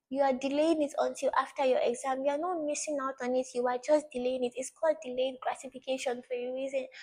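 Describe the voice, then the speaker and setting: The speech is very fast, in a Nigerian accent. Intonation is monotone and flat. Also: woman, high pitch for a woman. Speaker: study tips vlogger. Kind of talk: motivational talk to camera. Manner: repetitive, earnest.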